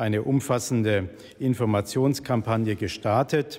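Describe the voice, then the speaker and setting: Fairly even intonation from a male speaker. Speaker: government minister. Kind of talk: formal prepared statement. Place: hall. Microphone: podium.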